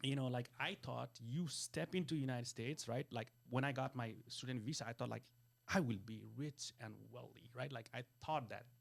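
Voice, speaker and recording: Here, a man speaks at a moderate pace. His pitch is medium and his intonation fairly even. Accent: Nepali. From Nepal, Kathmandu. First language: Nepali. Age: 40s. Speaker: wealth business coach. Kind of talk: interview conversation. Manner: halting, many fillers.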